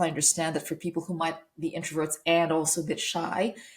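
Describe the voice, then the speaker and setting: Her voice is somewhat breathy as the woman talks at a moderate speed. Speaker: podcast host and former news presenter. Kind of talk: solo podcast monologue. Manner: halting, with repeated words.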